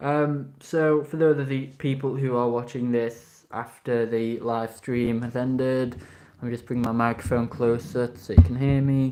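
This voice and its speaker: With music in the background, a man speaks at a fairly slow pace and a medium pitch, his intonation fairly even. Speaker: toy reviewer live streamer. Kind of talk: live stream review. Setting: live stream.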